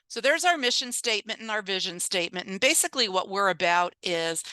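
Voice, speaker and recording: A woman's voice comes across bright and sharp, dry and close with no echo, over a quiet background. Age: 60s. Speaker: nonprofit director. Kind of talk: presentation. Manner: animated.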